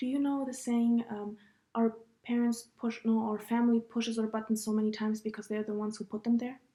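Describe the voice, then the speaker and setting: A woman talks at a fairly quick pace in a fairly high pitch with a dark, mellow tone. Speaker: podcast host. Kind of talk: casual chat. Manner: loud; animated.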